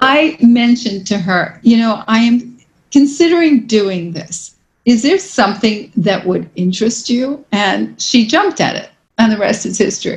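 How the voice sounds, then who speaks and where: At a moderate pace, a woman with an American accent speaks in an ordinary speaking voice, her fairly high pitch carried by lively intonation. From New York City. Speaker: real estate executive. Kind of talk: interview.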